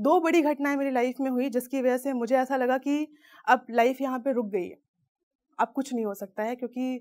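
A woman at a high pitch, moderate pace and fairly even intonation. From Uttar Pradesh, India (Pratapgarh); Uttar Pradesh, India. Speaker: PR professional and filmmaker; speaker. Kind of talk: motivational talk. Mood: earnest, emotional storytelling. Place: studio. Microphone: lapel.

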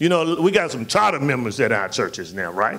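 A man at a moderate pace, with very wide pitch swings. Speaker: pastor. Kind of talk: sermon. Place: church. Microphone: handheld.

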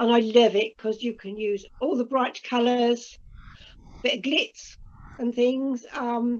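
A woman's high voice at a fairly slow pace, with ordinary pitch variation. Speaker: amateur painter. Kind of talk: casual chat. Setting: video call. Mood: warm, gentle, slightly wistful. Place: home room. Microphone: video call.

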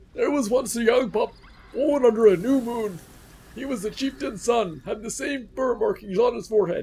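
A man in a put-on character voice, extremely high in pitch, at a moderate pace. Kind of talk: storytelling.

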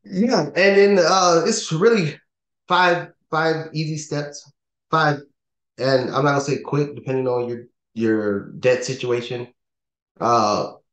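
Against a quiet background with audible room echo, a man speaks very slowly, pausing long and often. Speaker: podcast co-host. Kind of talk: podcast talk explaining steps. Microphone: video call.

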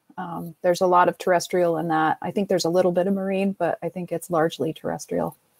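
A woman's fairly low, monotone, flat voice at a very fast pace with hardly any pauses, in a dry, close sound with no echo. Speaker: workshop moderator. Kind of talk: moderating online workshop. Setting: video call.

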